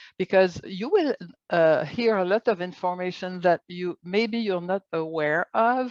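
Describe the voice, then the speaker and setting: Against a quiet background with a dry sound and no echo, a woman with a Quebec accent speaks at a fairly low pitch and a fairly slow pace, using ordinary pitch variation. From Quebec, Montreal. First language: French. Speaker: organic agriculture coordinator and biologist; presenter. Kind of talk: online presentation. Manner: halting. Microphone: webcam.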